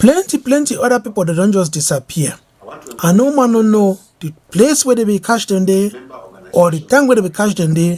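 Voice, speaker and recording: A man with a high voice talks at a fairly quick pace with lively intonation. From Southern Cameroons, Cameroon. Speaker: political leader. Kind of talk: political speech.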